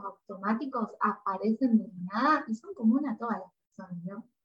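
This woman has a Rioplatense accent and a fairly high pitch. Her pitch varies an ordinary amount. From Argentina. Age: 30s. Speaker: psychologist. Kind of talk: interview conversation.

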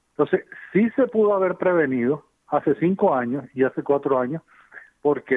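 A man talks in an unremarkable speaking voice, neither hurried nor slow but at a moderate pace. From Venezuela. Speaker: civil engineer. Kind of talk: expert interview.

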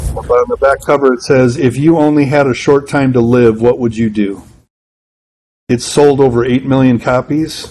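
A man talks in an ordinary speaking voice with an American accent, at medium pitch. His intonation stays fairly even and his pace is moderate. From Wisconsin. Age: 40s. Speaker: pastor and church consultant. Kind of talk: interview conversation. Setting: pastor's office.

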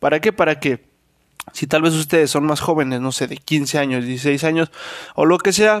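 A man with a Mexican accent speaks in a fairly high voice. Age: 20s. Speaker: podcast host. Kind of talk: casual monologue.

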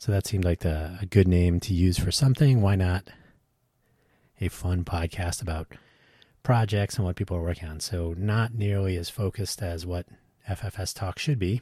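Very deep and low, a man's somewhat breathy voice has a dark, mellow tone and ordinary pitch variation. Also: moderate pace, dry, close sound with no echo, very clean recording, silent background. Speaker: podcast host. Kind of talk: solo podcast monologue.

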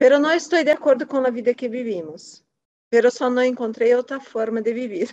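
Speaking at a moderate pace, a woman with a Portuguese accent has a high pitch. Her pitch variation is ordinary. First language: Portuguese (speaking Spanish). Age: 40s. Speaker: finance worker. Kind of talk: casual chat.

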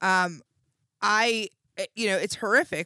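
A woman with an ordinary speaking voice talks at a fairly slow pace and a fairly high pitch. The recording is very clean, with a silent background and a dry, close sound with no echo. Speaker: podcast co-host. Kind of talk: casual comedic chat. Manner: casual, profane, joking.

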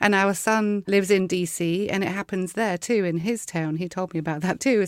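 A woman speaks at a fairly quick pace with a medium pitch and an English accent, her voice dry and close with no echo. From England. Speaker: podcast host. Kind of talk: interview. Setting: remote recording from Dallas.

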